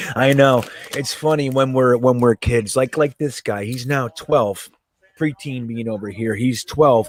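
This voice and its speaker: Speaking at a fairly slow pace with an American accent, a man keeps a medium pitch and fairly even intonation, recorded with a dry, close sound and no echo. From northeast New Jersey. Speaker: sports fan channel host. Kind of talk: casual live game-watching chat. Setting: live stream from home.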